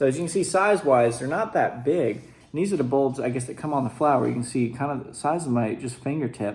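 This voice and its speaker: Somewhat breathy and with lively intonation, a man speaks at a very fast pace with hardly any pauses. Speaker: youtuber doing product tasting. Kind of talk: casual vlog tasting. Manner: casual with many fillers.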